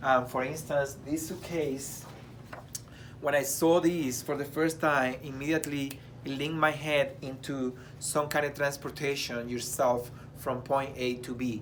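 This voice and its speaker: Amid audible room echo, a man with a fairly high pitch speaks at a fairly slow pace in monotone, flat intonation. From abroad, immigrant. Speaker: choreographer. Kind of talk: casual chat.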